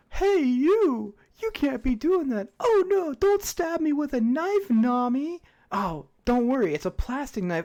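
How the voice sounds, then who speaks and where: Using a put-on character voice, a female-sounding speaker goes at a fairly slow pace with a high pitch and very wide pitch swings. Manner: exaggerated, panicky, cartoonish.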